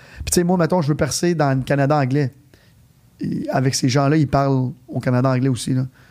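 In an unremarkable speaking voice, a man talks fairly quickly at a fairly high pitch. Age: 30s. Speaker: entrepreneur. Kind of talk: casual interview.

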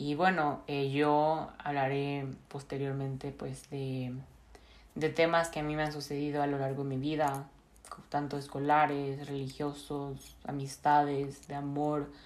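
A woman with a very deep, low pitch speaks at a fairly slow pace in a monotone, flat way, with audible room echo around her. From Mexico, Monterrey. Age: 20s. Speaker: podcast host, university student. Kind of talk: casual monologue.

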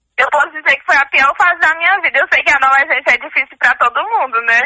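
A woman's high-pitched, raised, projected voice carries a bright, sharp tone. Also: dry, close sound with no echo. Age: 20s. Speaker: student. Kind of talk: interview.

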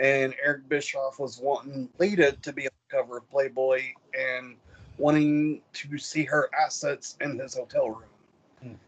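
A man with a fairly high pitch talks at a moderate pace in a plain, everyday voice, his intonation fairly even. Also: big swings in loudness. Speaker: co-host. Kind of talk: casual chat. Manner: casual, joking.

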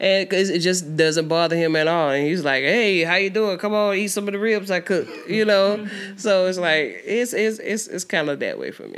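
A woman's plain, everyday voice with an American accent, medium pitch, ordinary pitch variation and a moderate pace. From US South, Georgia. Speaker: musician. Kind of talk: casual chat.

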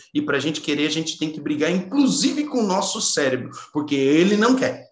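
This man talks at a moderate pace, his pitch swinging very widely. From Brazil, São Paulo state (Caçapava). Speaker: engineer and neuroscience speaker. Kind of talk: interview conversation.

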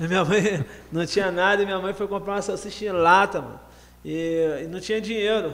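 A man's high-pitched, fairly quick speech with fairly even intonation amid noticeable background noise. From Rio de Janeiro, Baixada Fluminense. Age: 40s. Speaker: rapper and anti-drug speaker. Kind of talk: casual interview.

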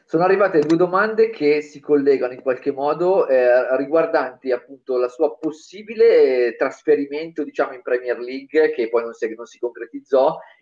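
Moving at a moderate pace, a man talks with an unremarkable speaking voice, fairly high in pitch and with ordinary pitch variation. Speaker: podcast co-host. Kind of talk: interview. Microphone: unstable internet connection.

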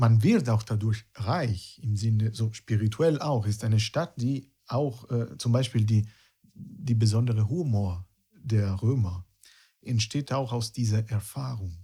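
A man's somewhat breathy voice at a medium pitch, very slow, with ordinary pitch variation and an Italian accent. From Italy, near Rome. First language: Italian (speaking German). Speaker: guitarist and music teacher. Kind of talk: casual interview chat.

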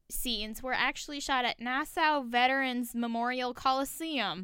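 On a very clean recording with a silent background, a woman projects a raised, animated voice with a bright, sharp tone at a fairly slow pace. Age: 20s. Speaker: podcast co-host. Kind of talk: casual chat.

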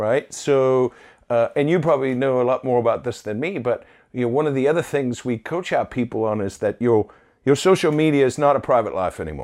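A man's normal speaking voice at a medium pitch, fairly quick pace and ordinary pitch variation, over a quiet background. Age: 40s. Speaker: roofing company owner. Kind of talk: interview conversation.

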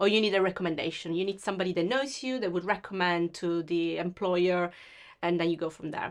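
A woman's fairly low voice with an Italian accent. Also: ordinary pitch variation. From Sicily, Italy. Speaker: web design business owner. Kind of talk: interview. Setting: video call.

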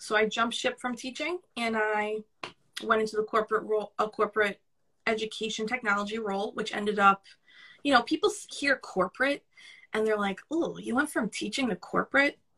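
With a New York accent, a woman talks at a fairly quick pace in a fairly high, bright, sharp voice, the sound dry and close with no echo. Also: ordinary pitch variation. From Brooklyn, New York. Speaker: podcast guest, career coach.

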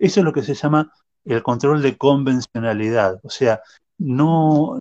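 A man's voice sits at a medium pitch and shows ordinary pitch variation. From Argentina, Buenos Aires. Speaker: lawyer and sociology researcher. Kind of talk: interview. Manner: halting, with frequent fillers.

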